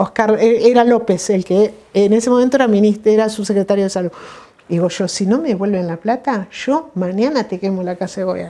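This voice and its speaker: With a Rioplatense accent, a woman speaks at a fairly quick pace in a dark, mellow tone with ordinary pitch variation. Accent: Argentine Rioplatense Spanish. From Buenos Aires province, Argentina. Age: 60s. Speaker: retired physician. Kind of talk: oral history interview. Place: home room.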